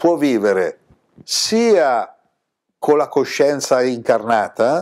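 Over a quiet background, a man talks at a fairly high pitch. His voice shows very wide pitch swings. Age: 60s. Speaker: spiritual teacher. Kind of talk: spiritual talk to camera. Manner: animated. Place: home room.

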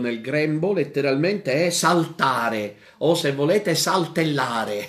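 Room echo is audible around a man's voice. He talks fairly slowly with lively intonation. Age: 40s. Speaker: priest. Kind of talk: catechesis lecture. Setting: radio and TV broadcast.

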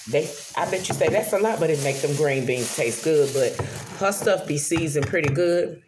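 Over noticeable background noise, a woman with a very deep, low pitch talks at a fairly quick pace, her loudness very even and her pitch varying in an ordinary way. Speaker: vlogger. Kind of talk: casual vlog chat. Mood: chatty, relaxed. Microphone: phone near.

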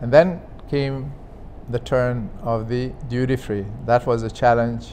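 Against light background noise, a man speaks with an Arabic accent. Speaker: former aviation official, business executive. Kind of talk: interview, personal recollection; interview answer. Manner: halting. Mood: animated, storytelling, warm. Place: home room. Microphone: lapel.

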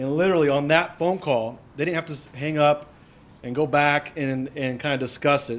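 The speaker is a man. His intonation stays fairly even. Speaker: presenter. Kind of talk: story told to a live audience. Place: meeting room. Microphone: handheld.

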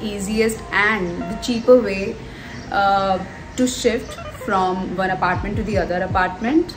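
Over clear music in the background, a woman speaks at a fairly slow pace with ordinary pitch variation. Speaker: vlogger. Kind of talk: casual vlog chat. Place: home room. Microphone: phone near.

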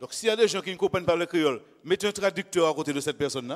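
A man's high voice at a very fast pace, with ordinary pitch variation. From Martinique (Le Lorrain); Martinique. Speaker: lay preacher. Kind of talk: sermon. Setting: church. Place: church. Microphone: handheld.

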